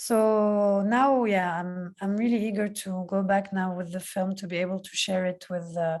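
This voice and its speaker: The speaker has a Palestinian accent. The intonation stays fairly even. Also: woman. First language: Palestinian Arabic. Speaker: film director. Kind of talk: Q&A interview. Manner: halting.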